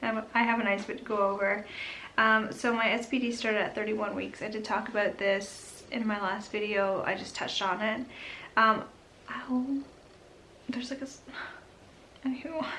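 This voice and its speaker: A woman with a fairly high pitch and fairly even intonation speaks at a moderate pace with long, frequent pauses, amid noticeable background noise and audible room echo. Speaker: vlogger. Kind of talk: casual vlog update. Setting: home nursery. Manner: whispering, quiet; chatty, many fillers.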